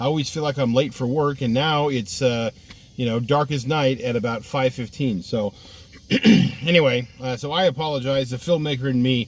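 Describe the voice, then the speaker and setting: A man with an American accent at a moderate pace, medium pitch, ordinary pitch variation. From California. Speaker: online talk show host. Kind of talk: political rant. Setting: dim home video recording. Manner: casual, many fillers.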